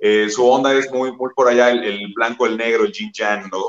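This man has a normal speaking voice, medium in pitch, and he talks at a moderate pace. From Mexico, Guanajuato. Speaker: rock musician. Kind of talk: interview.

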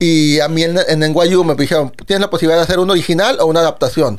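With an unremarkable speaking voice, a man talks fairly quickly at a fairly high pitch with ordinary pitch variation. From Monterrey, northern Mexico. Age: 40s. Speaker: composer and musical theatre artist. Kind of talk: casual chat.

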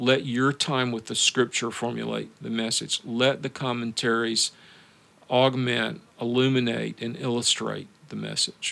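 A man with a Southern US accent speaks at a medium pitch and a fairly slow pace. His tone is bright and sharp, his intonation fairly even. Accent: Southern American. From US South. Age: 70s. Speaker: pastor. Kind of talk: interview.

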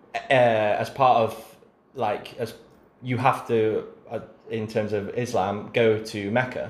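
A man with an English accent, very slow and monotone with flat intonation, at a medium pitch over noticeable background noise. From England. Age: 20s. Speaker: podcast host. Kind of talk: casual chat.

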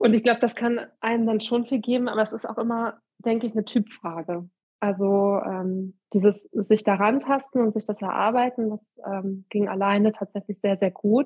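A woman speaks at a fairly high pitch and a moderate pace, with hardly any pauses. Her voice is somewhat breathy, and her intonation is fairly even. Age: 30s. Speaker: amateur long-distance cyclist. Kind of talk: casual interview.

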